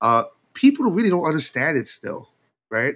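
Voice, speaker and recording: A man with a New York accent talks at a moderate pace. The recording is very clean, with a silent background. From New York, partly Puerto Rico. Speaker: podcast co-host, former hacker, security researcher. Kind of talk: casual chat. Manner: animated.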